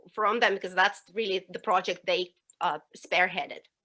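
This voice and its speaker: A woman with a non-native accent talks at a moderate pace. Her medium-pitched voice has a bright, sharp tone. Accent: foreign. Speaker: professor. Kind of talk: panel discussion.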